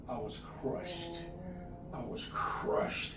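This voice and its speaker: Music playing behind a man's voice. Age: 80s+. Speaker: community elder and fatherhood movement founder. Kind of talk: interview answer. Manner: casual storytelling.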